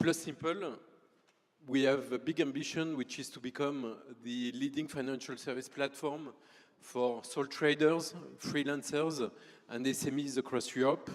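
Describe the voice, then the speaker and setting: A man's fairly high voice with a French accent, fairly slow and fairly even in intonation. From France. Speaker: startup founder. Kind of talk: conference presentation.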